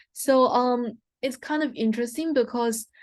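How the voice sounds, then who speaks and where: The woman talks at a moderate pace, her fairly high voice showing ordinary pitch variation. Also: quiet background. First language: not English. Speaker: guest lecturer. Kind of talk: lecture. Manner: hesitant, frequent fillers.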